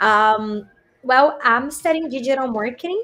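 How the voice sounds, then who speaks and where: Speaking with a Portuguese accent, a woman keeps a moderate pace and ordinary pitch variation. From Brazil. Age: 20s. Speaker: college student, former language school student. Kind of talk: interview.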